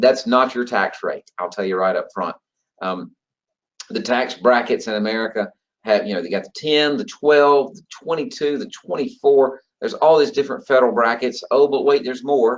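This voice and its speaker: A man with a Georgia accent at medium pitch, moderate pace, very wide pitch swings and big swings in loudness. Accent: Georgia Southern. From US state of Georgia. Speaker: federal retirement trainer. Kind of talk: online training webinar. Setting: online group call. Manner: casual, conversational with fillers.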